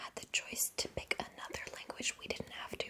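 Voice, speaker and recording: Whispered words from a woman, with noticeable noise in the background. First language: German. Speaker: ASMR YouTuber. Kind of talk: casual Q&A chat. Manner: whispering.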